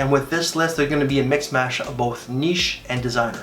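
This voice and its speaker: Amid noticeable background noise and audible room echo, a man with a fairly high pitch speaks at a very fast pace with ordinary pitch variation. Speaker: fragrance reviewer. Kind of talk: casual review vlog. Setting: at home in the morning. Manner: speaking quietly.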